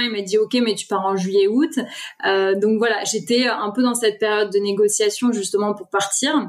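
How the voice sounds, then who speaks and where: Speaking at a fairly slow pace, a woman uses fairly even intonation at a fairly high pitch. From Paris region, France (Essonne). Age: 30s. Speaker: author and pilgrimage traveller. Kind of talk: podcast interview. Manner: casual, hesitant.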